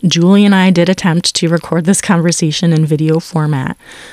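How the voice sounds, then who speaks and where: A plain, everyday voice from a woman, fairly low in pitch, fairly quick and fairly even in intonation, with a dry, close sound and no echo. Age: 40s. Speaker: podcast host. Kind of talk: casual interview chat; scripted intro narration.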